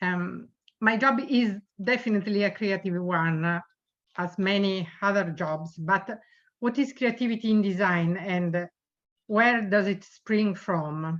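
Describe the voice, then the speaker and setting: A woman with an Italian accent at a fairly slow pace, ordinary pitch variation, quiet background. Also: medium pitch for a woman. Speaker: designer. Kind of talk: reading a prepared speech.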